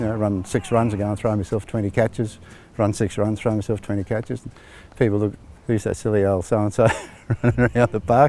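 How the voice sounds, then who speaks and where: Speaking very fast in a monotone, flat intonation, a man with a fairly low voice and an Australian accent leaves long, frequent pauses. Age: 60s. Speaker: amateur cricketer. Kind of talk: interview.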